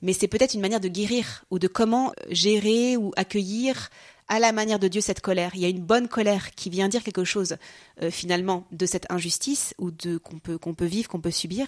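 On a very clean recording with a silent background and a dry, close sound with no echo, a woman talks at a fairly quick pace and medium pitch with ordinary pitch variation. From France. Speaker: consecrated religious sister. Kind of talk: interview on spirituality. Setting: recorded in Jerusalem. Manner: halting, many hesitations.

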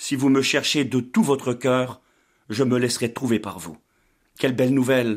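A man's medium-pitched voice at a moderate pace, with ordinary pitch variation, long and frequent pauses, and a very clean recording over a silent background. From Brittany, France. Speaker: pastor. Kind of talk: sermon; testimony.

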